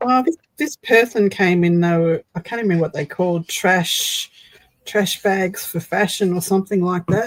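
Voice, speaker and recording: A woman's medium-pitched voice at a moderate pace, with ordinary pitch variation and a dry, close sound with no echo. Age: 60s. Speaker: craft streamer. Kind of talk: casual chat. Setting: live stream.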